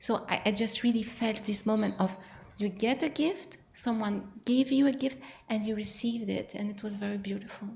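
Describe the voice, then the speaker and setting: This woman's pitch is fairly high. She speaks with a non-native accent. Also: ordinary pitch variation, moderate pace. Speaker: audience member. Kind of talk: audience feedback. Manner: halting.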